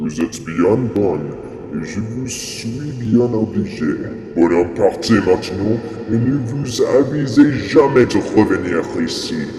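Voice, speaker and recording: Putting on a character voice, a man speaks at a fairly slow pace, with clear echo and loud background noise. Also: medium pitch for a man. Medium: stage play. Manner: humble, earnest.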